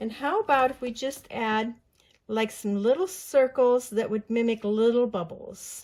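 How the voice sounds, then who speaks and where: A woman with a fairly high pitch talks at a fairly slow pace, her pitch varying in an ordinary way. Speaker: mixed media art journaling creator. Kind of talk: craft tutorial. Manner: casual, chatty; mumbling.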